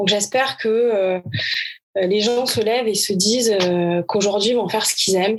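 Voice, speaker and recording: Very even loudness at a moderate pace. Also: woman, medium pitch for a woman. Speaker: tennis coach. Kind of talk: interview answer. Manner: energetic.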